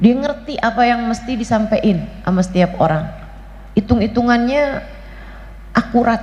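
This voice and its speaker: Noticeable background noise behind a woman, moderate in pace, with ordinary pitch variation. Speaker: female Islamic preacher. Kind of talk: religious lecture. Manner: casual, colloquial.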